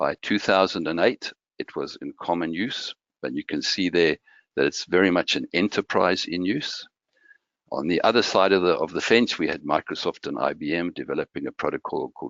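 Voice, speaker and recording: A man with a Malawian accent at a fairly quick pace. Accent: Malawian accent, noticeable. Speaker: identity architect, tech presenter. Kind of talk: technical presentation. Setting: online meetup.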